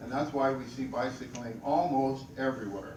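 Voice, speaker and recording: Amid noticeable background noise and audible room echo, a man talks at a moderate pace and medium pitch. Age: 70s. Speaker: bicycle advocate. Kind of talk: presentation.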